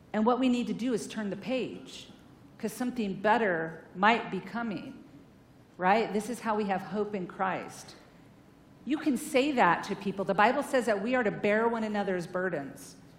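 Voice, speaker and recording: Animated and energetic, a woman speaks at a fairly high pitch. Her pace is moderate and her pitch varies in an ordinary way. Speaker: therapist and guest speaker. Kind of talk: sermon-style talk to a church congregation. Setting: church with audience. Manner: animated, energetic.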